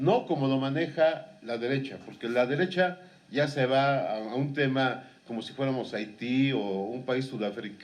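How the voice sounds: A man talks at a moderate pace with few pauses and ordinary pitch variation. His medium-pitched voice comes with audible room echo.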